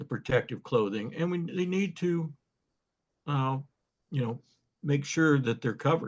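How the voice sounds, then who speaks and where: A man speaks at a moderate pace with a somewhat breathy voice and ordinary pitch variation. He takes long, frequent pauses. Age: 70s. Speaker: field land surveyor. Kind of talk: panel discussion.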